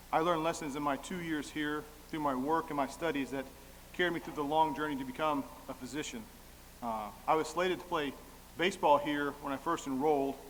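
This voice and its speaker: Audible room echo surrounds a man with an American accent and a fairly high pitch, who speaks at a fairly quick pace with fairly even intonation and long, frequent pauses. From southern Illinois. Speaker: radiologist. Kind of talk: award acceptance speech. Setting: stage with audience at dinner. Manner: fast.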